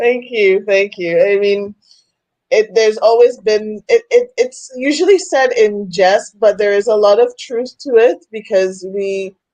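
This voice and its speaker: A woman with a Trinidadian accent speaks slowly at a fairly high pitch, her dark, mellow tone showing ordinary pitch variation. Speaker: women's coach. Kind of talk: interview.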